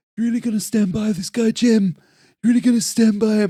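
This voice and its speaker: A put-on character voice from a man, breathy and high-pitched, at a very fast pace. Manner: pressing, confrontational.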